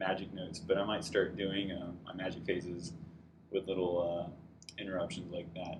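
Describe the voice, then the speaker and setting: Fairly quick and somewhat breathy, a man talks with a very deep, low pitch. The room echo is audible. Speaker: tabletop wargaming video commentator. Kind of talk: battle report narration over pictures. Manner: casual with many fillers and restarts.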